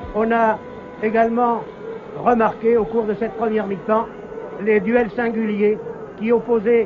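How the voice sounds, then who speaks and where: Against noticeable background noise, the speech unfolds at a fairly slow pace. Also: man. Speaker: live football TV commentator. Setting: stadium, noisy crowd with horns and trumpets. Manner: formal, fluent, measured broadcaster delivery. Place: stadium. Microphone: old recording.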